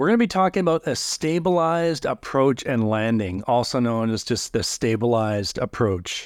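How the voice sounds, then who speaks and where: A man's unremarkable speaking voice with a Canadian accent, at a medium pitch and moderate pace, with lively intonation and very even loudness, on a very clean recording with a silent background. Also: hardly any pauses. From Canada. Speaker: corporate pilot, podcast co-host. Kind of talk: casual chat.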